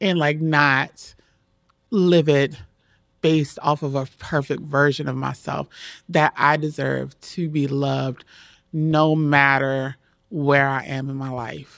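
Speech comes at a very slow pace with long, frequent pauses, in an American accent. The recording is very clean, with a silent background. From Maryland, US. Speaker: photographer. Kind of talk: casual interview chat.

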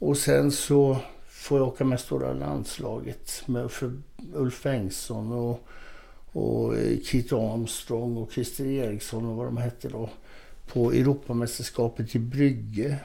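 Speaking very slowly, a man has a dark, mellow tone. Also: medium pitch for a man, ordinary pitch variation. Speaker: former bodybuilding champion and author. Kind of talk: casual interview.

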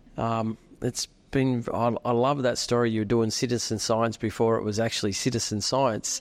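A man with an Australian accent speaks at a moderate pace and a medium pitch. His intonation is flat and monotone, and his loudness stays very even. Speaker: podcast host. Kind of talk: interview. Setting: pub meal.

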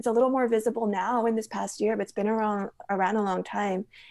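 A woman speaks with a Californian accent at a medium pitch. Her pace is fairly quick. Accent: Californian American. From Los Angeles area. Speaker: novelist. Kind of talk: interview conversation. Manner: hesitant, many fillers.

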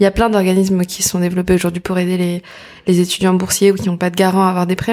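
This woman has a medium pitch. She talks at a very fast pace. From Paris banlieue, France. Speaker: association founder. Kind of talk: casual interview.

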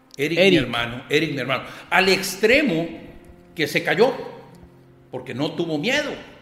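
A man with a high voice talks at a moderate pace with lively intonation and long, frequent pauses, amid noticeable background noise and audible room echo. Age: 50s. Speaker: newspaper columnist. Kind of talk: casual interview conversation.

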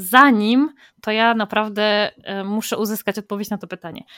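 Fairly high in pitch, a woman with an unremarkable speaking voice talks at a fairly quick pace with fairly even intonation, in a dry, close sound with no echo. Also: very clean recording, silent background. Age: 30s. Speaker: podcast host. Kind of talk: scripted narration; interview.

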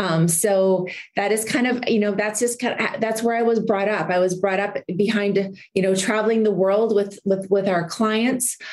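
A woman speaks at a moderate pace with hardly any pauses, fairly even intonation and very even loudness. Noticeable background noise runs underneath. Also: medium pitch for a woman. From Saskatchewan, Canada. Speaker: entrepreneur and model. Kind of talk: interview.

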